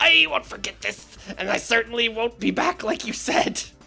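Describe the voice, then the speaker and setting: A female-sounding voice with a fairly high pitch does a put-on character voice at a moderate pace. Faint music plays in the background. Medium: game stream. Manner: gangster-style menacing.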